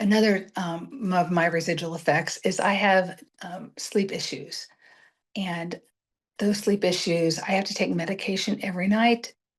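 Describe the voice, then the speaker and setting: Over a quiet background, a woman talks at a moderate pace in a somewhat breathy voice with fairly even intonation. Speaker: motivational speaker and brain injury survivor. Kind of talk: presentation. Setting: virtual event. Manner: halting.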